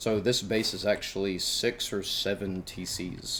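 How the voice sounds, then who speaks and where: With an American accent, a man speaks at a fairly low pitch and with fairly even intonation. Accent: southern US, thick per some. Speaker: gaming YouTuber. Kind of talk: game base tour narration. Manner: casual, conversational.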